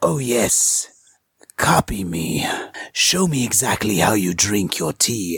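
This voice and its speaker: A put-on character voice, raspy and low in pitch, at a fairly slow pace. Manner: sly, devilish.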